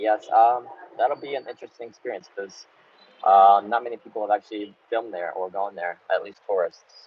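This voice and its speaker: A man speaks with an American accent at a fairly quick pace. His loudness swings widely. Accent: sounds American. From United States (Baltimore, Maryland). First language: Russian. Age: 20s. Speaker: travel vlogger. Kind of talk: live Q&A stream. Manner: casual, hesitant with fillers.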